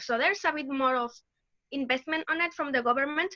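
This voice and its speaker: Raising and projecting her voice, a woman with a Mexican accent talks at a fairly quick pace in a bright, sharp tone with ordinary pitch variation. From Mexico. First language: Spanish. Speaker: laboratory research assistant. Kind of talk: interview.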